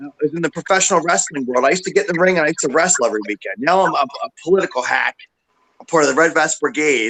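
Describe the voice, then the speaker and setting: Talking at a very fast pace with an American accent, a man uses lively intonation and vocal fry in a bright, sharp tone, recorded dry and close with no echo. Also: fairly high pitch for a man. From Philadelphia suburbs, US. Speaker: political activist, former professional wrestler. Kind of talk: casual chat. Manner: halting.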